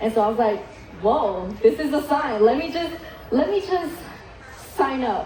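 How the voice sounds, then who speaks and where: A woman with a high pitch speaks at a moderate pace, her pitch swinging very widely, with audible room echo and noticeable background noise. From Vietnam, moved to US at eight. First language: Vietnamese. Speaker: chef. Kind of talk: keynote speech.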